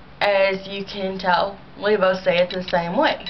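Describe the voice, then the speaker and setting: A woman talks at a very slow pace. Noticeable background noise is present. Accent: slight St. Louis. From US Midwest, St. Louis, Missouri. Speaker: vlogger. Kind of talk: casual video response monologue. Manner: rambling, many filler ums.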